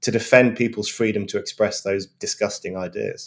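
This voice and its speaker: A man with a British accent at a fairly quick pace. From England. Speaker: journalist and author. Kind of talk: panel discussion. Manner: fluent.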